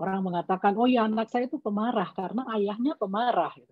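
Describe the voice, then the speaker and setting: The woman talks very fast. Pitch variation is ordinary. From Java, Yogyakarta (Batak family). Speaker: parenting expert, doctor. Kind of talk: webinar talk. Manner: measured, explanatory.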